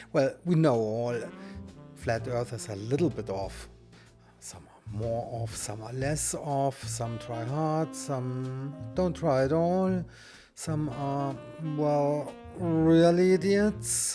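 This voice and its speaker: Music plays behind a man speaking at a medium pitch with lively intonation and a very slow pace. His loudness swings widely. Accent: German. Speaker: YouTube channel host. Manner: mocking, sarcastic commentary.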